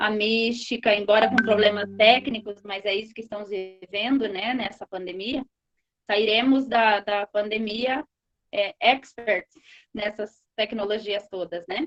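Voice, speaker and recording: In an unremarkable speaking voice, a woman talks at a fairly slow pace with a fairly high pitch and fairly even intonation, the sound dry and close with no echo. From rural Brazil. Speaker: moderator of online course panel. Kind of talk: online panel moderation.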